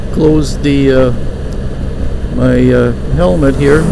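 Loud background noise sits behind a dry recording that has no echo. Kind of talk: casual ride commentary. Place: motorbike. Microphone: helmet.

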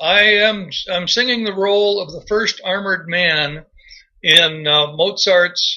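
Raising and projecting his voice, a man speaks with a high pitch and a bright, sharp tone. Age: 60s. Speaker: amateur radio operator and retired engineer. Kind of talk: casual interview chat.

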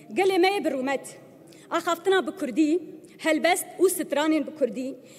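Her pitch extremely high, a woman speaks at a fairly slow pace with lively intonation. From Turkey. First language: Kurdish (speaking Turkish). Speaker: member of parliament. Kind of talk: parliamentary speech. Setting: parliament floor. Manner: defiant, emphatic. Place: hall. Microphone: podium.

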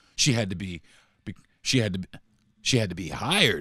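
A man with an American accent has a plain, everyday voice, fairly low in pitch, with lively intonation. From US South, rural Florida. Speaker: podcast host. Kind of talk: angry profane political rant to listeners. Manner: heated, repetitive, expletive-laden venting; exasperated rhetorical questioning.

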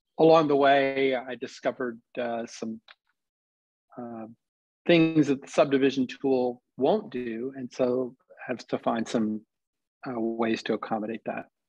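A man's voice with ordinary pitch variation and long, frequent pauses, dry with no echo. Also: fairly slow pace, quiet background. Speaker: presenter. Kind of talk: tutorial. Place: home room. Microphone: webcam.

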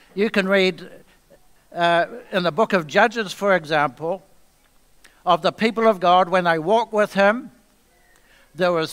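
Against a quiet background, a man with a high pitch and ordinary pitch variation speaks with long, frequent pauses. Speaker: guest preacher. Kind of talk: sermon. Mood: calm, earnest. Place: church.

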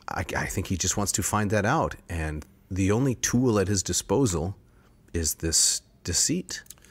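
Plain reading aloud is all the recording holds.

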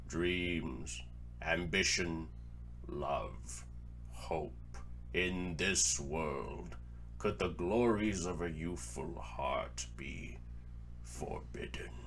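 A put-on character voice with a solemn tone, very slow pace and long, frequent pauses, over clear background noise. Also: man. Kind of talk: dramatic philosophical monologue. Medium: dub. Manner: slow, solemn.

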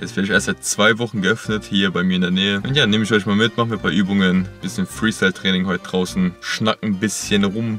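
Fairly low-pitched man at a fairly quick pace, dry sound with no echo, faint music in the background. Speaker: fitness vlogger. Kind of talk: casual vlog chat. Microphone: phone near.

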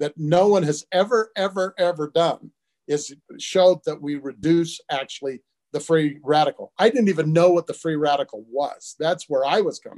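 A man with an American accent speaks at a moderate pace in a high voice, with ordinary pitch variation and a quiet background. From US West (Utah). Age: 70s. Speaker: supplement company founder. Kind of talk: interview. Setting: video call from home. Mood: earnest, personal storytelling. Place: home room. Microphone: video call.

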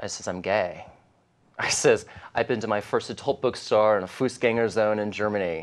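The man's voice sits fairly low in pitch and shows ordinary pitch variation. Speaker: interview guest, life coach. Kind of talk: interview answer. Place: studio. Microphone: lapel.

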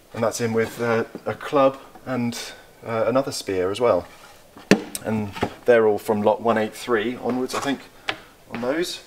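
Delivered at a moderate pace, the speech has fairly even intonation and long, frequent pauses. Noticeable background noise is present. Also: man, medium pitch for a man. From England. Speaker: auctioneer. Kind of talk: auction preview walkthrough, casual talk to camera. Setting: indoors, saleroom. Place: shop. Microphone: camera far.

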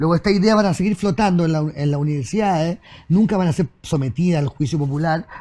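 Talking at a very fast pace, a man uses a high pitch with a dark, mellow tone. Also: ordinary pitch variation, very even loudness. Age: 50s. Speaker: writer and journalist; guest. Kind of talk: casual chat. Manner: halting, many repetitions and fillers. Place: studio. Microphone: lapel.

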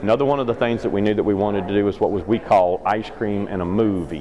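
A man speaks at a fairly quick pace with fairly low pitch. His pitch varies in an ordinary way over light background noise. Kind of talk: interview answer. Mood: upbeat, enthusiastic. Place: hall. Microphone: phone near.

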